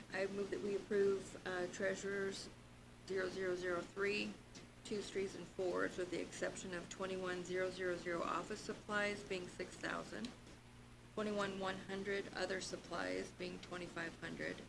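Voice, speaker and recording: Noticeable background noise and audible room echo surround this woman's voice. She talks at a moderate pace with a medium pitch and monotone, flat intonation. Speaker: budget committee member. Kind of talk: public committee meeting.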